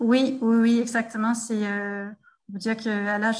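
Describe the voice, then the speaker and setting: A somewhat breathy, fairly high female voice with a Danish accent, flat and monotone, at a moderate pace in a quiet background. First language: Danish (speaking French). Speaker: French teacher and textbook author. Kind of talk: interview. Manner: halting, many hesitations.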